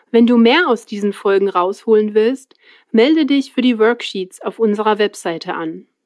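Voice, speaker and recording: Her pitch sits fairly high and moves with ordinary variation. This woman has a normal speaking voice. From Switzerland. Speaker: language-learning podcast host. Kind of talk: scripted narration for German learners. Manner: clear, slow-paced for learners.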